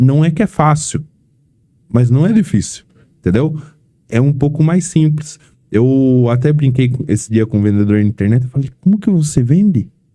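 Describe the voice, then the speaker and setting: Very even in loudness, a man speaks at a moderate pace and fairly high pitch, somewhat breathy and dark and mellow in tone, with long, frequent pauses. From São Paulo state interior, Brazil. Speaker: vehicle protection sales team manager. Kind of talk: podcast interview.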